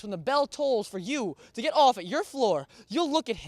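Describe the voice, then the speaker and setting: A man speaks in a passionate tone with lively intonation at a fairly quick pace. The recording is very clean, with a silent background and a dry, close sound with no echo. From Philippines. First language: Filipino language. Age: young. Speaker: spoken word poet. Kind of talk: spoken word performance; casual interview. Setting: college campus.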